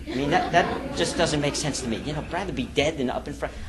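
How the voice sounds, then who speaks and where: Audible room echo follows the man's voice as he talks. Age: 50s. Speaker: business coach and seminar leader. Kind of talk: seminar talk. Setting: stage with audience. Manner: fast.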